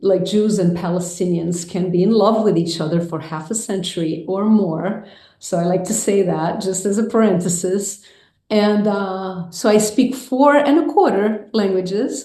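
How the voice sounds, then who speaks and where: Audible room echo surrounds a woman speaking at a moderate pace and medium pitch with ordinary pitch variation. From Brazil, Rio de Janeiro. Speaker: filmmaker and mindfulness teacher. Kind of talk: interview conversation.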